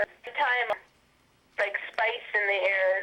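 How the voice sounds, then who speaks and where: Noticeable background noise is audible throughout. A woman speaks over it at a moderate pace. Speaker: interviewee describing paranormal experiences. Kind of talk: casual chat. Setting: phone call.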